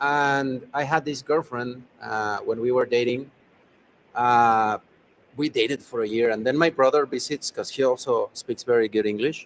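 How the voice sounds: A man with a non-native accent speaks at a moderate pace and a medium pitch. His pitch varies in an ordinary way, and the sound is dry and close with no echo.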